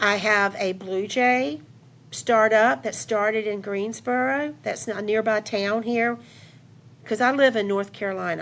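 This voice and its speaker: A woman with a medium-pitched voice and ordinary pitch variation speaks in an unremarkable speaking voice. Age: 60s. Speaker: entrepreneur and teacher. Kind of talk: podcast interview.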